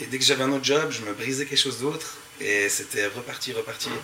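Noticeable background noise sits behind a man speaking fairly quickly at a medium pitch. His intonation is fairly even. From French-speaking Switzerland, Montreux. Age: 30s. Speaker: graffiti artist and skateboarder. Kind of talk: panel discussion. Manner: casual, halting.

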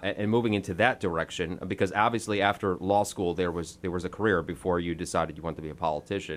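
A man with an American accent at a very fast pace. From New York. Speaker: podcast host. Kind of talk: interview.

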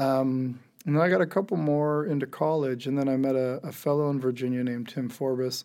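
Someone with an American accent speaks at a fairly quick pace with fairly even intonation. The tone is dark and mellow. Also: man. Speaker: former football player turned tattoo artist. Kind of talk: casual interview. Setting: studio.

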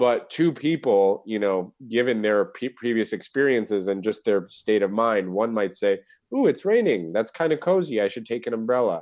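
In a normal speaking voice with an American accent, a man at medium pitch talks at a moderate pace with lively intonation and hardly any pauses against a quiet background. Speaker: Buddhist teacher and author. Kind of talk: casual chat.

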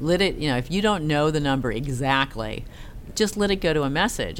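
Speaking with an American accent, a woman talks at a fairly quick pace with lively intonation. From California, San Francisco Bay Area. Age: 40s. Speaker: investigative TV reporter. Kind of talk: casual interview.

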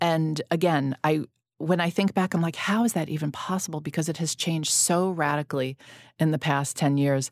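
A woman's very deep, low voice at a moderate pace, with fairly even intonation and very even loudness, in a very clean recording with a silent background and a dry, close sound with no echo. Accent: New York. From New York. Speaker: magazine founder and podcast host. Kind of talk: casual interview chat.

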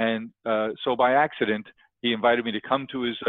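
A man with a New York accent speaks at a medium pitch. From New York, South Queens. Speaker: entrepreneur. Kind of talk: interview.

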